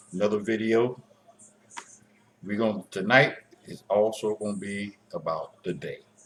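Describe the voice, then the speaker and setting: With music in the background, a man speaks at a very slow pace and a fairly low pitch. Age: 60s. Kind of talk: casual talk to camera. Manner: hesitant, halting.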